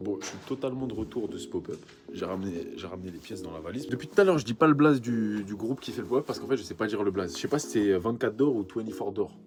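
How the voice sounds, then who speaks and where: Over noticeable background noise, a man with a fairly low pitch talks very fast with lively intonation and big swings in loudness. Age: 20s. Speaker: vintage clothing shop owner. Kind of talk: vlog monologue to camera. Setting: backstage after a pop-up event. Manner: casual, halting with repetitions.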